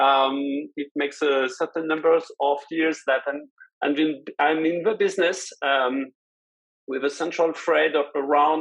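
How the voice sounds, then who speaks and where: In a French accent, a man with a fairly high voice keeps his intonation fairly even at a moderate pace. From France. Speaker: compliance executive. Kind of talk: webinar panel discussion. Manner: halting, many fillers.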